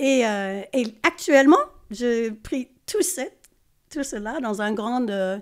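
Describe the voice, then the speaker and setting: A woman with an English accent speaks at a very slow pace in a high pitch, her intonation lively and her pauses long and frequent, on a very clean recording with a silent background. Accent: English-speaking accent in French. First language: English (speaking French). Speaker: choreographer and stage director. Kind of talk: podcast interview. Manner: hesitant, many fillers.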